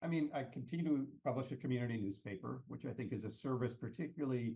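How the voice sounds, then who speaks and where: With an American accent, a man talks at a very fast pace. His medium-pitched voice is somewhat breathy, with a dark, mellow tone. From US West Coast, Palo Alto California. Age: 60s. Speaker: economics and policy consultant. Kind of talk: podcast interview. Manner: halting, many repetitions.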